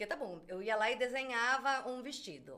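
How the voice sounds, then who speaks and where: A woman's bright, sharp tone at a moderate pace. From Brazil. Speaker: crochet designer and artisan. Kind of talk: casual chat.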